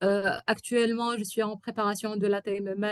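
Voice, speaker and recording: A woman at medium pitch with an Arabic accent, monotone and flat in intonation, in a dry, close sound with no echo. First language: Arabic (speaking French). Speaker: software testing expert. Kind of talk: webinar talk. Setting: online webinar. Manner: halting, many hesitations.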